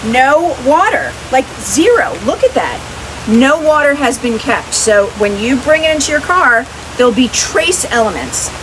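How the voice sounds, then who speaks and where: A woman with a high pitch speaks at a fairly slow pace, her upbeat, animated tone and lively intonation set against noticeable background noise. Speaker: swag seller and vlogger. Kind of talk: product pitch demo. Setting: outdoors in the rain. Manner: upbeat, animated, enthusiastic. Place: rain. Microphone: lapel.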